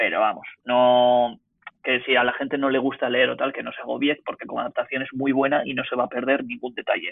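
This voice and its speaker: A man with a medium-pitched voice speaks at a fairly quick pace. His intonation is monotone and flat. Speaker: podcast guest. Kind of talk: casual chat.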